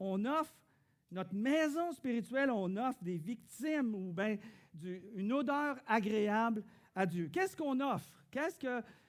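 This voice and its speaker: Delivered at a fairly slow pace in a Quebec accent, the speech has very wide pitch swings and big swings in loudness. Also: man, high pitch for a man. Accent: Québécois French. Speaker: pastor. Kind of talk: sermon. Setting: church.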